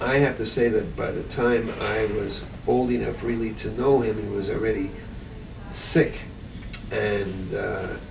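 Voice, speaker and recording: A man speaks at a fairly slow pace in a fairly low voice, with fairly even intonation and long, frequent pauses. The recording has audible room echo and noticeable background noise. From Montreal, Quebec. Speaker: interviewee recalling family history. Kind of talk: oral history interview. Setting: library.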